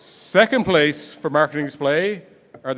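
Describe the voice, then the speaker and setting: Over crowd noise in the background, a man speaks in an animated tone. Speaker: competition emcee. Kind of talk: awards ceremony announcing.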